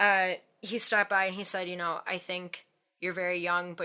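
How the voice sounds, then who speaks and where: A woman with a Midwestern accent talks at a fairly quick pace and medium pitch, her tone bright and sharp and her intonation fairly even, on a very clean recording with a silent background. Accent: Midwest accent, strong O's. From Wisconsin, US Midwest. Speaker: safety specialist. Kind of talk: interview conversation. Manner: casual, many fillers.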